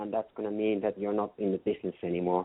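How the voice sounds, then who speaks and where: The speaker uses fairly even intonation in a Finnish accent. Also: man. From Finland. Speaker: customer experience consultant. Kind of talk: interview.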